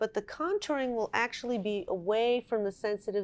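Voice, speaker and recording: A normal speaking voice is heard. Its pitch varies in an ordinary way, and the pace is moderate. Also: woman. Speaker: nurse and product inventor / company founder. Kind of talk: product infomercial explanation. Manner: clear, instructional.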